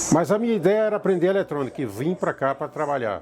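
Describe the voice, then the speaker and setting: A man's lively, fairly quick delivery with music in the background. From Bahia, Brazil. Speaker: community radio operator. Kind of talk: oral history testimony.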